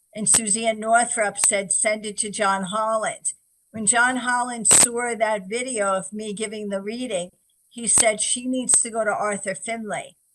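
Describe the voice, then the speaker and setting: A woman talks with a New York accent. Her pace is fairly slow and her intonation fairly even. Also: fairly high pitch for a woman. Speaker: psychic medium. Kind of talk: interview. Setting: radio show.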